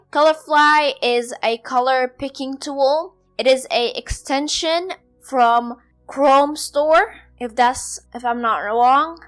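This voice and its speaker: Music plays in the background while a woman speaks at a very slow pace. Her pitch is high, with ordinary variation. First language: not English (English is her fourth language). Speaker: podcast host and blogger. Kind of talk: solo podcast tutorial.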